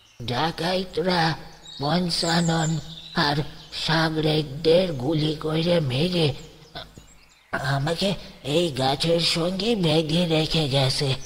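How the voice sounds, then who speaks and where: In a put-on character voice, a man talks at a very slow pace. His pitch sits fairly high, and his intonation stays fairly even. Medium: read story.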